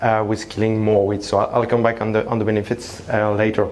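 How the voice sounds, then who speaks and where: Through audible room echo and noticeable background noise, a man with a slight French accent talks at a medium pitch. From France (Paris). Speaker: tech company founder. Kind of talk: conference presentation. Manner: hesitant, many fillers.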